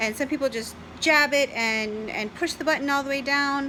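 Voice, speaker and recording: Her voice is raised and projected, and the woman speaks at a high pitch. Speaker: diabetic vlogger. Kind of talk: casual talk to camera.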